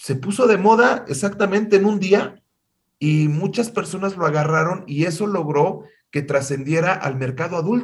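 In a Mexican accent, a man talks at a fairly slow pace with lively intonation. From Mexico. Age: 50s. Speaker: music industry executive and singer. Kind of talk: interview.

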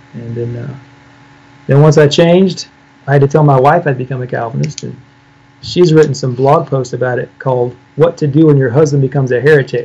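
A man with a fairly high pitch and a dark, mellow tone speaks at a fairly quick pace, somewhat breathy, with fairly even intonation. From US Midwest, Illinois. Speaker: pastor. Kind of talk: theological debate.

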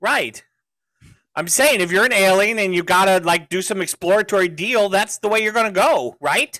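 A man's raised, projected voice, high in pitch for a man, with an animated tone, ordinary pitch variation and a moderate pace, in a dry, close sound with no echo. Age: 50s. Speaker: podcast host. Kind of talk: casual chat.

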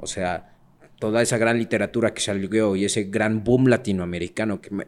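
This man has a plain, everyday voice, fairly low in pitch, with fairly even intonation, a moderate pace, and big swings in loudness. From Mexico City. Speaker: podcast co-host. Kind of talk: casual chat.

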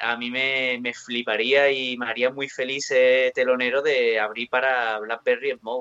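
A man with an Andalusian accent speaks at a fairly slow pace. His intonation is fairly even, and music plays in the background. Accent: southern Spanish (Andalusian). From Andalusia, southern Spain. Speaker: rock guitarist. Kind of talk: interview.

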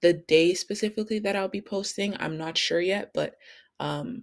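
The recording is very clean, with a silent background. A woman with a Canadian accent speaks at a moderate pace with fairly even intonation. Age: 20s. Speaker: podcast host. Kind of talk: casual monologue.

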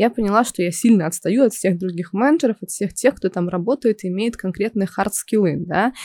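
A woman's medium-pitched voice with a dark, mellow tone, ordinary pitch variation and a very fast pace, in a dry, close sound with no echo. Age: 20s. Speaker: project manager and instructor. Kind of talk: casual chat.

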